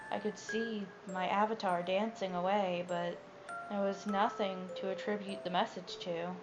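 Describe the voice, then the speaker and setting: The speaker goes at a fairly slow pace with music in the background. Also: woman. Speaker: creepypasta narrator. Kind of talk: horror story reading. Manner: stuttering, some pauses and repeated words.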